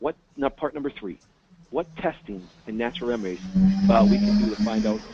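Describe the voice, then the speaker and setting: A dark, mellow tone moves at a fairly quick pace with very wide pitch swings, the sound dry and close with no echo. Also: man. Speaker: naturopath and chiropractor. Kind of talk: webinar presentation. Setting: phone call webinar. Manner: fast; animated.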